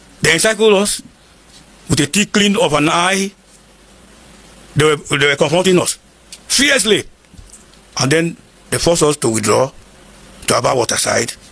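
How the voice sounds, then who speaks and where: Very wide pitch swings mark the speech, with very even loudness and long, frequent pauses. Noticeable background noise runs underneath. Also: man, high pitch for a man, moderate pace. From northern Nigeria, Igala from Kogi State. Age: 70s. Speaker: war veteran. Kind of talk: interview.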